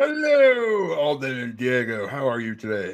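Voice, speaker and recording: A man puts on a character voice at a medium pitch. He speaks at a moderate pace. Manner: mock imitation of a person's voice.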